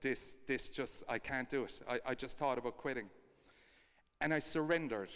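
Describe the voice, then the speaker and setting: A man is speaking. He has an Irish accent. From Ireland. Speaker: co-founder of a kindness project. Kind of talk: storytelling talk.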